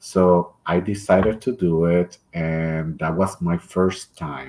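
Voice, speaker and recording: A man's very deep, low voice with a Puerto Rican accent. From Puerto Rico. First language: Spanish. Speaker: drag performer. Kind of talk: interview. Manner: hesitant, with filler sounds.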